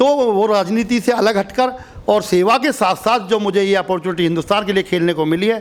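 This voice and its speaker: Over noticeable background noise, a man talks at a high pitch. His pace is moderate. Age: 50s. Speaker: masters athlete. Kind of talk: interview.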